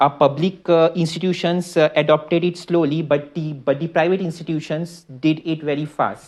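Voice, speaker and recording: Speaking at a moderate pace with an Indian accent, a man uses a fairly high pitch and fairly even intonation. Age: 20s. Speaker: startup founder. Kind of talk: talk to an audience. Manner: halting, many fillers and repeats.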